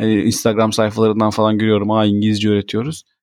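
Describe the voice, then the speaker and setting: The delivery comes at a very fast pace. The sound is dry and close with no echo, on a very clean recording with a silent background. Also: man. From Turkey. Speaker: podcast co-host, father. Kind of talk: casual chat.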